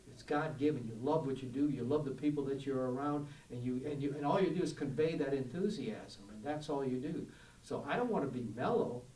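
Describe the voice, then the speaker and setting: A man with an American accent speaks at a fairly quick pace and fairly high pitch with ordinary pitch variation, amid noticeable background noise and audible room echo. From New York. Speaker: TV sportscaster. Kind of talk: interview. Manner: enthusiastic.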